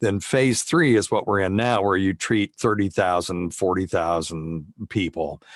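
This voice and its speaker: An ordinary speaking voice from a man with an American accent, fairly low in pitch and fairly slow, with hardly any pauses, very even loudness, and a dry, close sound with no echo in a very clean recording with a silent background. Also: ordinary pitch variation. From US South. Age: 60s. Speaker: physician and radio host. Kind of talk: interview.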